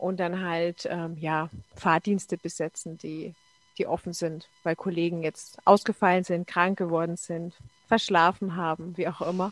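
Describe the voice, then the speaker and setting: A woman speaks at a fairly slow pace in a fairly low pitch. Her intonation is monotone and flat, and the sound is dry and close with no echo. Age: 40s. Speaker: bus driver and blogger. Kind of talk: casual chat.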